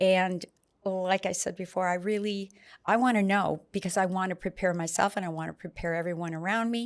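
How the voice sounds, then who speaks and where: On a very clean recording with a silent background, a woman with a plain, everyday voice speaks at a fairly quick pace and medium pitch. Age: 60s. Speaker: patient sharing experience. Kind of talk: interview.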